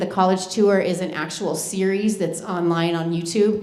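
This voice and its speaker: Through noticeable background noise, a woman speaks with monotone, flat intonation. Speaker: school college counselor. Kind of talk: informational presentation. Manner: fast.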